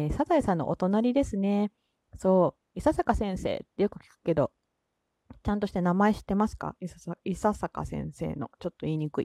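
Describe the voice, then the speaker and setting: A woman speaks with a Kansai accent, lively intonation and a dark, mellow tone. The sound is dry and close with no echo, on a very clean recording with a silent background. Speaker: solo podcaster. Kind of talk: casual solo talk. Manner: relaxed, laid-back; frequent laughter.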